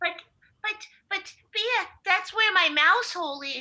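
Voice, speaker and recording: A put-on character voice, squeaky and extremely high in pitch, delivered at a fairly slow pace. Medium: stage play.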